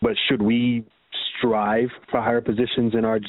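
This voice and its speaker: A man with an American accent and monotone, flat intonation. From New York. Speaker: caller. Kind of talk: phone-in question. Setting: phone call.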